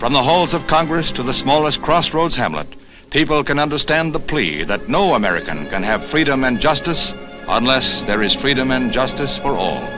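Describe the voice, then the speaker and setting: A man talks at a moderate speed with a fairly high pitch and lively intonation while music plays behind him. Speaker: newsreel narrator. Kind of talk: 1960s newsreel narration. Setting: archival film soundtrack, recorded 1965.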